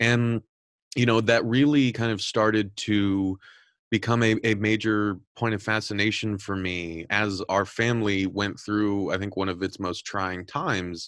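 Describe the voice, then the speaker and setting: A man with a Californian accent, his pitch fairly low, at a fairly slow pace, on a very clean recording with a silent background. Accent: Californian American English. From Southern California. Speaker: podcast host and editor-in-chief. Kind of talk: interview. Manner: repetitive, filler-heavy.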